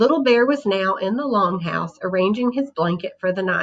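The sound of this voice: A reading voice that sounds unforced.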